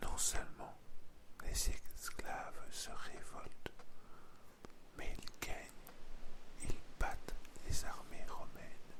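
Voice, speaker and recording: Whispering at a very slow pace in a calm tone, the speaker leaves long, frequent pauses. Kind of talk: ASMR history narration for bedtime. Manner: calm, intimate, soft-spoken, addressing the listener.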